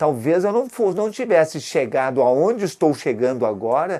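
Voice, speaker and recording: The voice is a man's, with a dark, mellow tone. His intonation is lively. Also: very clean recording, silent background. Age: 70s. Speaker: retired orthopedic doctor and health entrepreneur. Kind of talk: interview testimony.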